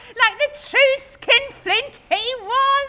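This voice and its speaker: Putting on a squeaky character voice, a woman speaks at an extremely high pitch. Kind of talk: comic fireside storytelling. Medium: solo performance. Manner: chatty, giggly.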